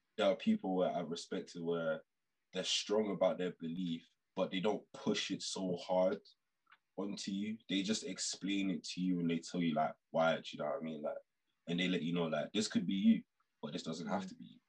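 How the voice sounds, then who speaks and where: A man with a London accent speaks at a moderate pace, leaving long, frequent pauses. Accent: London multicultural English. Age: 20s. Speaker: podcast guest. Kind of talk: casual chat.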